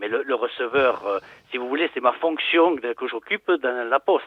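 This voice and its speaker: A man with a plain, everyday voice talks at a fairly slow pace and medium pitch, with ordinary pitch variation. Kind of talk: phone conversation. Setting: phone.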